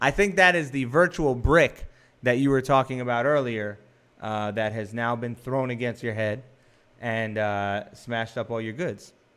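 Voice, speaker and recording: An unremarkable speaking voice from a man with an American accent, medium pitch, ordinary pitch variation and moderate pace. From New York. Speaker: film director and podcast host. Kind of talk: casual chat.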